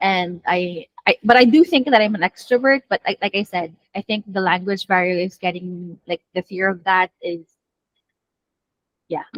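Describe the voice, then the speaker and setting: A woman with a Filipino accent at a moderate pace, dry and close with no echo. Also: medium pitch for a woman, ordinary pitch variation. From Philippines. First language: not English. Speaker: coaching client. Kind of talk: group discussion.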